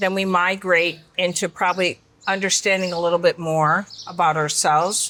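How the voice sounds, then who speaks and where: At a moderate pace, a woman speaks in a normal speaking voice of medium pitch. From Michigan, US. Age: 50s. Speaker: beauty company founder and CEO. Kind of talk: interview conversation.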